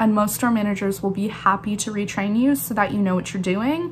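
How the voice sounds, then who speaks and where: An ordinary speaking voice from a woman, medium in pitch, at a moderate pace. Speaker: barista and YouTuber. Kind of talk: casual vlog talk.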